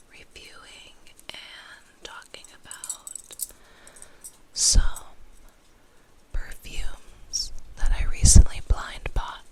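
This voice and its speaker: Someone whispers at a very slow pace with long, frequent pauses, over noticeable background noise. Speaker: ASMR content creator. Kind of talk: ASMR whispered perfume review. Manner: whispered, soft.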